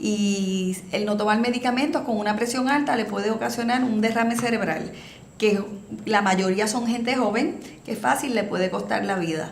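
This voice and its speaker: At a moderate pace, a woman talks amid noticeable background noise and audible echo from the room. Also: fairly high pitch for a woman, ordinary pitch variation. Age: 60s. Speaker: municipal health program coordinator. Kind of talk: interview.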